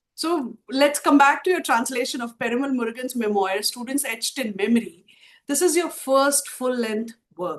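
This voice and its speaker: This woman talks at a moderate pace in a Telugu accent, her pitch high. Her intonation is lively. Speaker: podcast host. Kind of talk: interview. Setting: podcast.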